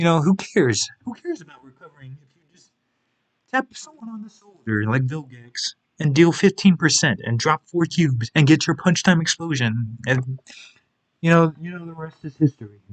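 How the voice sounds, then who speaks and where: Soft-spoken, the voice proceeds at a moderate pace. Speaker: gaming video creator. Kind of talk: video game tier list commentary. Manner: halting.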